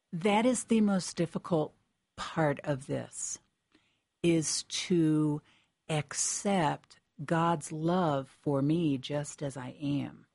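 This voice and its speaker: A woman's very deep, low voice with an American accent and ordinary pitch variation, at a very slow pace, in a dry, close sound with no echo over a quiet background. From Connecticut. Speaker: pastoral nurse. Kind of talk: testimony. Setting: studio.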